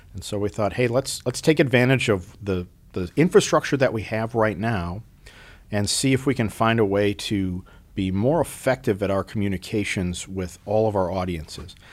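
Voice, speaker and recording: A man's ordinary speaking voice with an American accent, fairly low in pitch, at a moderate pace with ordinary pitch variation. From US upper Midwest, Minneapolis. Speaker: military commander. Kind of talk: casual interview.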